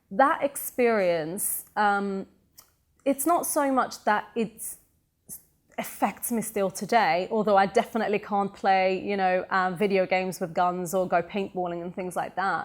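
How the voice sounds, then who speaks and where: A woman with a British accent, medium pitch, ordinary pitch variation and a fairly slow pace. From Sweden, then England from age 13. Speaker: entrepreneur and motivational speaker. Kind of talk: interview.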